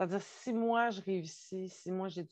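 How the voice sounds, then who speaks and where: With a Quebec accent, a woman speaks very slowly. Her pitch sits fairly low. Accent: Québécois French. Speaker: spiritual podcast co-host. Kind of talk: casual conversation.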